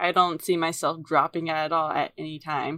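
In a very clean recording with a silent background, a woman with a plain, everyday voice talks at a moderate pace and a fairly low pitch. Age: 20s. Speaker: podcast co-host. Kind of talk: casual chat. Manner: giggly.

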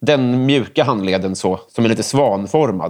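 Talking fairly slowly, a man lets his pitch vary by an ordinary amount. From Stockholm area, Sweden (Järfälla). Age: 30s. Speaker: comedian and writer. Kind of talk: casual chat.

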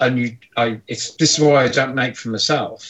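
A man with an English accent speaks with ordinary pitch variation. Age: 50s. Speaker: mod maker. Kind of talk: casual chat. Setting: video call.

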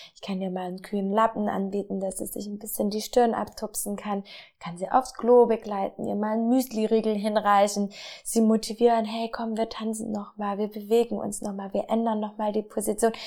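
Over a silent background in a very clean recording, a woman speaks at fairly high pitch in a dark, mellow tone. Her intonation is monotone and flat, her pace fairly quick, with hardly any pauses. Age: 20s. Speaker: midwife. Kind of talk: interview. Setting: on location in a birth center.

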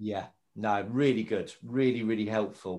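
This is a man with an ordinary speaking voice. He talks at a moderate pace with ordinary pitch variation. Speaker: podcast host. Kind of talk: casual interview chat.

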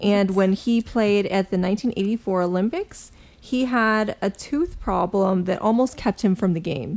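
A woman with a plain, everyday voice talks at a fairly slow pace in a medium pitch, with ordinary pitch variation, very even loudness and hardly any pauses. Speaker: podcast co-host. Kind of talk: casual chat.

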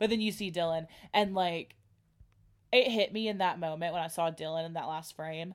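With an animated tone and a fairly low voice, a woman speaks at a moderate pace on a very clean recording with a silent background. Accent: American. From United States. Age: 20s. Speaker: podcast co-host, college student. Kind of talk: casual chat.

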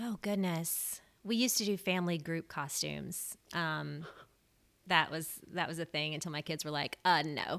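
At a moderate pace, a woman with an American accent and a normal speaking voice talks at a fairly low pitch with ordinary pitch variation. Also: very clean recording, silent background. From US South, Memphis, Tennessee. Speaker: pop culture podcaster and book content creator. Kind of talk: casual interview.

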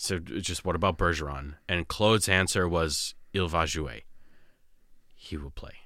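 A man with an American accent speaks at a very deep, low pitch with vocal fry and a bright, sharp tone. His pace is fairly slow, his pitch variation ordinary, and the recording very clean with a silent background. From Malden, Massachusetts. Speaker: sports fan. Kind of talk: casual chat. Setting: studio.

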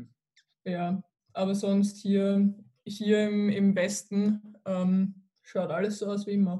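Her dark, mellow tone sits at a medium pitch and sounds somewhat breathy. The woman speaks at a very slow pace with monotone, flat intonation. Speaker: university student. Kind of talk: casual chat.

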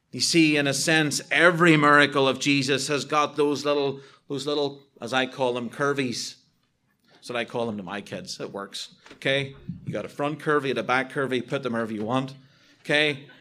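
A man with a Northern Irish accent talks at a fairly quick pace in a bright, sharp tone, his fairly high pitch held in fairly even intonation. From Northern Ireland. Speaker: visiting preacher. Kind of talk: sermon. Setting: church.

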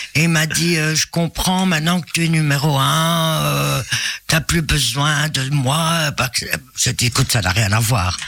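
Over noticeable background noise, a man with a fairly high pitch speaks at a fairly slow pace, with very even loudness and ordinary pitch variation. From Belgium, Binche area. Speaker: singer. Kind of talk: interview. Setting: radio studio.

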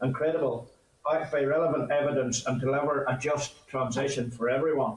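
There is noticeable background noise as a man with a Northern Irish accent talks at a fairly quick pace in a fairly high voice. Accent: Northern Irish (Ulster). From Northern Ireland, north coast (County Antrim). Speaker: farmers' union president. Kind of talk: committee evidence session.

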